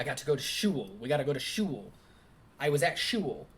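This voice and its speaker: Using a put-on character voice, a man talks at a fairly high pitch and a fairly quick pace. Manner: quirky.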